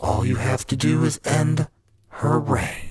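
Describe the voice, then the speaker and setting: Speaking rather slowly, a man performs a put-on character voice set fairly high. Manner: smooth, seductive, menacing.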